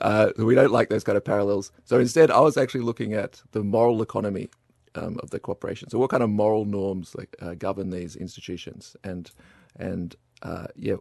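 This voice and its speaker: Here a man speaks in an Australian accent at a fairly low pitch. His pace is fairly quick, with big swings in loudness. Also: ordinary pitch variation, dry, close sound with no echo. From Melbourne, Australia. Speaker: master's student. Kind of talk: casual discussion. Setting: studio.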